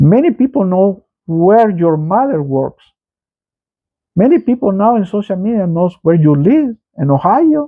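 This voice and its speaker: With a Salvadoran accent, a man speaks fairly slowly at a high pitch, his voice making very wide pitch swings. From El Salvador. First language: Spanish. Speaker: political commentator, channel owner. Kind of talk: political commentary monologue. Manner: halting, repeats words.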